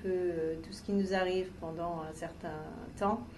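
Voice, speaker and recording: A woman's medium-pitched voice at a fairly slow pace, with fairly even intonation, audible room echo and noticeable background noise. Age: 40s. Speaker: cancer patient, art therapy participant. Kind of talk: interview testimony. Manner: hesitant, many filler sounds.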